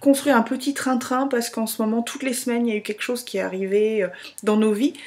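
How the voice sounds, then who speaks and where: Against noticeable background noise, a woman with a high pitch talks with ordinary pitch variation. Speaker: vlogger. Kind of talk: casual video blog.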